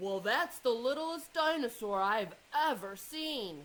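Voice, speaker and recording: At a fairly slow pace, a woman uses a put-on character voice with a high pitch. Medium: read story. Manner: loud, blustering.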